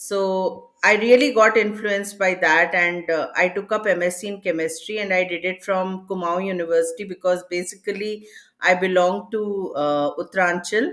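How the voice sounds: A woman speaks at a moderate pace with a fairly low pitch and ordinary pitch variation. Her tone is fairly bright.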